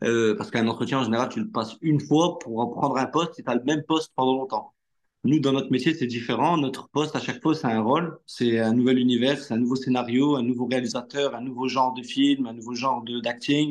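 A man with an ordinary speaking voice talks at a fairly quick pace and medium pitch, with ordinary pitch variation. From northern France (Hauts-de-France). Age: 30s. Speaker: actor. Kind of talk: casual interview.

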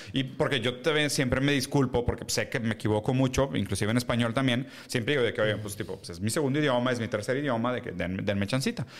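Over noticeable background noise, a man with a Mexican accent talks at a very fast pace and medium pitch, with ordinary pitch variation. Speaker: podcast co-host. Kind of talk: casual chat.

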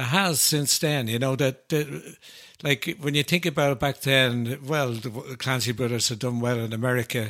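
This man talks with an Irish accent. His pitch sits in the middle range. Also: ordinary pitch variation, moderate pace, very clean recording, silent background. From Ireland. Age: 70s. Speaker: folk ballad singer. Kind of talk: casual chat.

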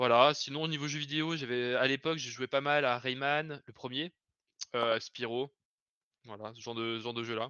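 A man with a normal speaking voice talks at a moderate pace and medium pitch, his intonation fairly even but his loudness swinging widely. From Lyon region, France. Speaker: software developer. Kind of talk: casual chat. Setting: live stream.

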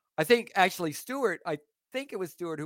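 Lively intonation and a fairly quick pace mark a normal speaking voice, heard dry and close with no echo on a very clean recording with a silent background. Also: man. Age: 40s. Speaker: stand-up comedian. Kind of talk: casual chat.

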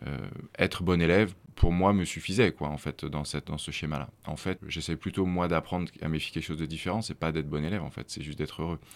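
A man talks at a very fast pace. His very deep, low voice keeps fairly even intonation. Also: very clean recording, silent background. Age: 30s. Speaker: entrepreneur in adventure travel, former finance worker. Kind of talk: interview conversation. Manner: hesitant, many fillers.

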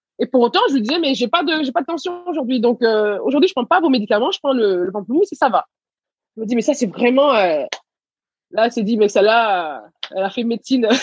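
With a dry, close sound and no echo, a woman talks fairly quickly in a high pitch that swings very widely. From Senegal, raised in Paris region from age 6. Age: 30s. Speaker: entrepreneur. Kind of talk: interview.

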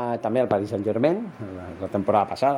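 His pitch swings very widely. The speaker is a man. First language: Spanish (speaking Catalan). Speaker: football podcaster. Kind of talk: solo football commentary podcast. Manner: hesitant, many fillers.

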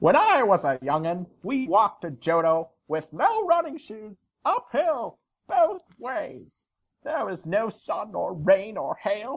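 This is a female-sounding, put-on character voice. It moves at a fairly slow pace. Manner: grumpy, complaining.

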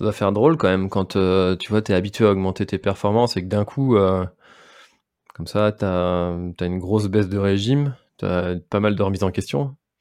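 The man's voice is fairly low, with ordinary pitch variation. He talks at a moderate pace in a very clean recording with a silent background. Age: 30s. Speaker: podcast host and race organizer. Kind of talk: casual interview chat. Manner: hesitant, many fillers.

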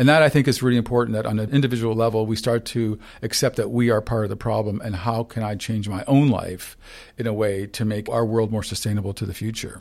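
A man at medium pitch talking very fast with fairly even intonation, on a very clean recording with a silent background. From Canada, St. Catharines, Ontario. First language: Ukrainian. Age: 60s. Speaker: photographer. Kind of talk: interview. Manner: halting.

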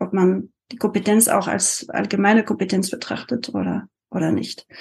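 Vocal fry runs through a woman's fairly even intonation. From France. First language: French (speaking German). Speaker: multilingualism coach. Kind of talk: interview. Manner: hesitant with frequent fillers.

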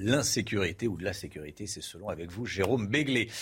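A somewhat breathy male voice on a very clean recording with a silent background. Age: 50s. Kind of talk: live news presenting.

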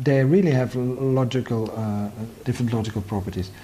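Medium-pitched man with a Dutch accent, dark and mellow in tone, somewhat breathy. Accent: Dutch-accented English, soft G. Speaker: philosophy professor. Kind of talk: academic interview conversation.

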